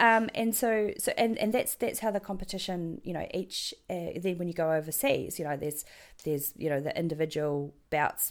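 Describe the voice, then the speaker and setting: A woman with a New Zealand accent. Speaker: medieval fighter and contract data worker. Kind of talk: casual interview chat.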